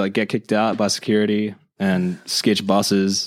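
On a very clean recording with a silent background, a man talks in an Australian accent at a fairly low pitch. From Australia, Illawarra (south of Wollongong). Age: 20s. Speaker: skateboarder and recent university graduate. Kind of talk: casual chat.

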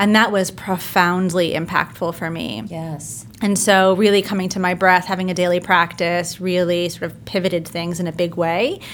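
A woman with a New Jersey accent talks at a moderate pace in a fairly low pitch, with hardly any pauses. Her intonation stays fairly even. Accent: New Jersey American. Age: young. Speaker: business and mindset coach. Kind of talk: interview.

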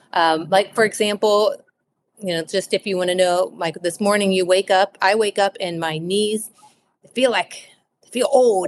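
In a plain, everyday voice with an American accent, a woman speaks fairly slowly at a medium pitch, her intonation fairly even and the sound dry and close with no echo. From Cincinnati, Ohio. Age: 40s. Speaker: author. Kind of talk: interview.

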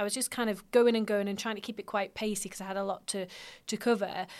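In a British accent, a woman speaks at a very fast pace with a fairly high pitch and monotone, flat intonation. The recording is very clean, with a silent background. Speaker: podcast host. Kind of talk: interview.

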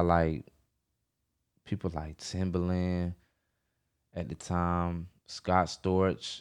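Very deep and low, a man's voice carries an American accent. He speaks at a very slow pace. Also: quiet background. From US South, Atlanta area (Georgia). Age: 20s. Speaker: music producer. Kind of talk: casual interview. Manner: laid-back.

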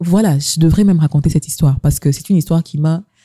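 A woman's somewhat breathy, fairly low voice with a dark, mellow tone, in a dry, close sound without echo. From DR Congo, Kasai. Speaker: podcast host. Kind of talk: casual chat.

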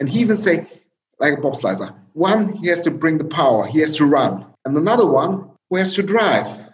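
A man's high-pitched voice at a fairly quick pace, with lively intonation and audible room echo. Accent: German. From East Germany. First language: German. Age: 40s. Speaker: tech company chief executive. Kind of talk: interview. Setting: video call. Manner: halting.

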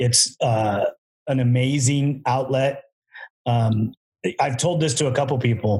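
A man's somewhat breathy, dark, mellow tone at medium pitch, with a fairly slow pace, long, frequent pauses, fairly even intonation, and very even loudness. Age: 50s. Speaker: podcast host and ATV builder. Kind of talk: casual chat.

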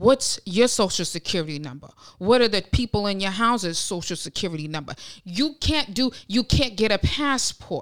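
Here a woman speaks in an American accent at medium pitch and a moderate pace, with very wide pitch swings. The recording is very clean, and the background is silent. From Ohio, US Midwest. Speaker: podcast co-host. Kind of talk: casual chat.

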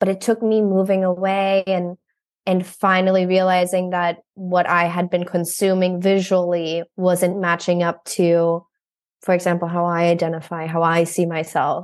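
Against a quiet background, a woman with an American accent speaks at a moderate pace in a fairly low pitch with monotone, flat intonation. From Germany (Berlin), raised partly in Brussels. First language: German. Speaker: photographer. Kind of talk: casual interview chat. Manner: frequent laughter and filler 'um'.

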